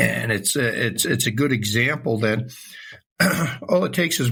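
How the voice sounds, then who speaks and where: A man speaks at a moderate pace with some vocal fry. His pitch sits in the medium range. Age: 70s. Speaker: historian. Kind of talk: casual chat. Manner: halting, with many fillers.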